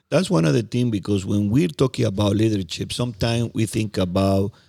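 A man with a Spanish accent speaks at a moderate pace, with ordinary pitch variation and a fairly low pitch. His tone is dark and mellow, on a very clean recording with a silent background. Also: very even loudness. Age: 50s. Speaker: podcast co-host. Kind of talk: casual chat. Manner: halting.

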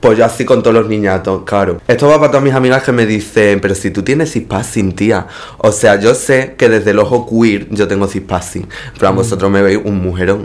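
An animated voice with ordinary pitch variation that runs on with hardly any pauses. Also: man, fairly low pitch for a man, fairly quick pace. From Spain, Extremadura (Cáceres). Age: 20s. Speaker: actress and drag performer. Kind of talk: casual chat.

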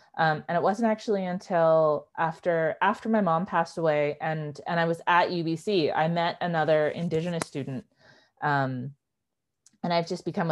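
With a Western Canadian accent, a woman talks at a fairly quick pace in a very deep, low pitch with ordinary pitch variation against a quiet background. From Canada, East Vancouver. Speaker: writer and filmmaker. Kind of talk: casual interview. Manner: hesitant, many fillers and restarts.

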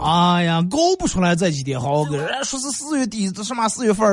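A man with a high pitch talks at a fairly quick pace with lively intonation. Noticeable background noise is present. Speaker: radio host. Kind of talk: dialect comedy talk show monologue.

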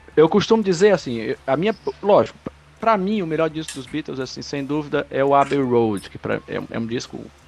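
Lively intonation from a man at a fairly high pitch, moderate in pace, with big swings in loudness and noticeable background noise. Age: 30s. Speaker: podcast co-host. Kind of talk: casual chat.

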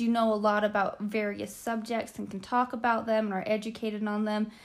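A woman with a normal speaking voice talks at a moderate pace in a fairly high pitch. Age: 20s. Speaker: college student. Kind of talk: casual chat.

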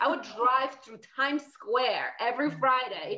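A woman with a Polish accent speaks in a high pitch. Her pace is fairly slow. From Poland. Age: 40s. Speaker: fitness and life coach. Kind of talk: interview.

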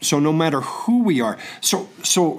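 This man has an unremarkable speaking voice. His pitch is fairly high and his intonation lively. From Oklahoma, near Tulsa. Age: 60s. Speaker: bible school student. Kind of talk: testimony.

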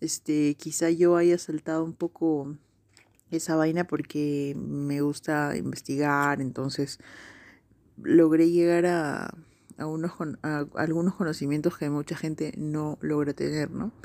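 A woman with a Peruvian accent speaks at a fairly slow pace, her very deep, low pitch flat and monotone with a dark, mellow tone. The recording is very clean, with a silent background. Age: 30s. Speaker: podcast host. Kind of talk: casual monologue.

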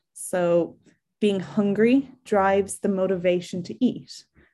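In an Irish accent, a woman speaks at a medium pitch with a dark, mellow tone. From Ireland. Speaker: psychologist giving a talk. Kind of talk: lecture. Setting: online webinar.

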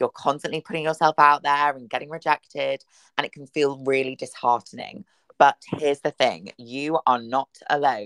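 A woman with a British accent, a very deep, low pitch and a playful tone, at a fairly quick pace. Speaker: podcast host, radio presenter. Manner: chatty, playful.

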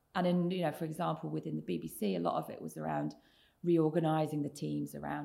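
At a moderate pace, a woman speaks with a southern English accent. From southern England, Oxfordshire. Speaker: tech executive. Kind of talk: interview.

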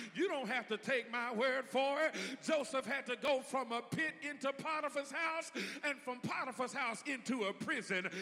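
A man's raised, projected voice, extremely high in pitch with ordinary pitch variation, warm and animated in tone, hardly any pauses, and noticeable background noise. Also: moderate pace. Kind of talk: sermon. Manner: animated, call-and-response, prompting the congregation to say amen; warm, folksy, humorous, with laughter and a rising preacherly cadence.

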